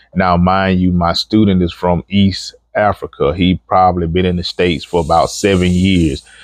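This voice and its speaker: A man speaks at a moderate pace with a very deep, low pitch, a relaxed tone and monotone, flat intonation. His loudness stays very even, there are hardly any pauses, and the sound is dry and close with no echo. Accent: strong Alabama. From Alabama, US South. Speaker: truck driver trainer. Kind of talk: casual vlog monologue. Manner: relaxed, conversational.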